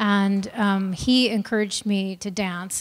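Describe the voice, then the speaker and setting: The speaker has an American accent and a monotone, flat intonation. The pace is fairly slow. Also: woman. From US Midwest. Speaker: choreographer; guest. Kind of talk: panel talk. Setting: stage with audience. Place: hall. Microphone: handheld.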